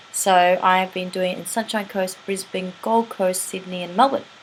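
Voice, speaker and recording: A woman speaks. Noticeable background noise runs underneath. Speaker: teeth whitening practitioner and image consultant. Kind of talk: tutorial. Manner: casual and chatty.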